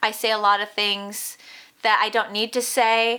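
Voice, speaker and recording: A woman speaks at a moderate pace in a fairly high, bright, sharp voice. Her intonation is monotone and flat. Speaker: crochet tutorial vlogger. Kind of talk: casual chat.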